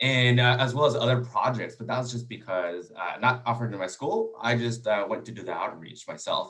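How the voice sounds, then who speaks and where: Audible room echo surrounds a man of medium pitch who speaks at a fairly quick pace with ordinary pitch variation. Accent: Spanish. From Texas. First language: Spanish. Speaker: engineering student. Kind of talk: panel discussion.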